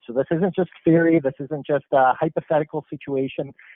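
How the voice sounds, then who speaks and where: The speaker is a man with a normal speaking voice and a fairly high pitch. His pitch varies in an ordinary way, at a moderate pace. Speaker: marketing presenter. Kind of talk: webinar presentation.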